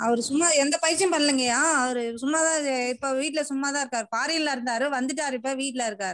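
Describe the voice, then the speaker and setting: The woman's high pitch shows ordinary pitch variation. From Attur, Tamil Nadu; Tamil Nadu. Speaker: caller. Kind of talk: phone-in question.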